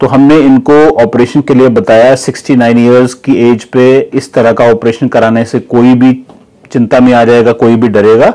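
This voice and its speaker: Against a quiet background, a man talks at a moderate pace with monotone, flat intonation. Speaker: neurosurgeon. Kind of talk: doctor explaining a case. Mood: calm, explanatory. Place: office. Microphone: lapel.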